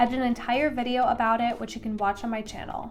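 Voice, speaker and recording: A woman's high-pitched voice with music in the background. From Tennessee. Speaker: real estate agent and YouTuber. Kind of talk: vlog commentary reading comments.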